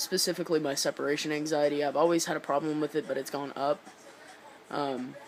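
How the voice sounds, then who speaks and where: Over crowd noise in the background, a man with a fairly high pitch rushes at a very fast pace in a flat monotone. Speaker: vlogger documenting transition. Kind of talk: personal video diary. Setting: indoors, dim lighting. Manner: halting, many fillers.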